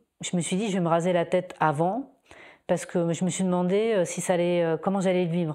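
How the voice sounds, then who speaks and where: A woman talks at a fairly quick pace in a fairly low pitch with a dark, mellow tone. Her intonation stays fairly even against a quiet background. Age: 40s. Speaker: breast cancer patient giving testimony. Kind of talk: testimony. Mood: calm, reflective, personal. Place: home room. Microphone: lapel.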